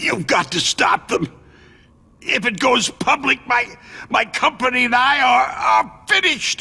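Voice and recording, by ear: A man speaks slowly in a put-on character voice with extremely high pitch and vocal fry. His tone is bright and sharp, and his intonation is lively.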